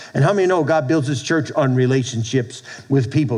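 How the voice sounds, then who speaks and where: An animated man with an American accent, over noticeable background noise. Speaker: pastor. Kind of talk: sermon. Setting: church with congregation. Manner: animated, preacherly call-and-response; conversational, loosely paced with repeats.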